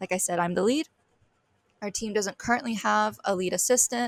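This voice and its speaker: A woman with an American accent talks at a fairly quick pace. The sound is dry and close with no echo, in a very clean recording with a silent background. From US South, Georgia. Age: 20s. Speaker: student team lead. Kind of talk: recorded presentation. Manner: fast.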